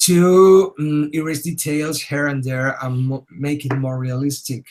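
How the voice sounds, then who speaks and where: A man with a normal speaking voice talks at a fairly slow pace. His pitch is fairly high and his intonation fairly even. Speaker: digital artist teaching a webinar. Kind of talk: tutorial. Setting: webinar.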